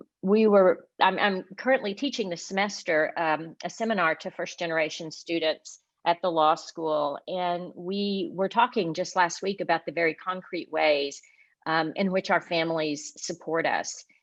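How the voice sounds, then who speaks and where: A woman with a Southern US accent talks at a fairly low pitch over a quiet background. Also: ordinary pitch variation, moderate pace. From US South, Arkansas. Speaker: law professor. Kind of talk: award acceptance speech. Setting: virtual event. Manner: halting, many fillers.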